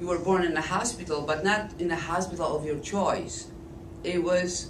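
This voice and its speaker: A woman with a fairly low pitch speaks at a moderate pace with fairly even intonation. Noticeable background noise and audible room echo are present. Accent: Polish. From eastern Poland. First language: Polish. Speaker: speaker at a political forum. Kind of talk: public talk.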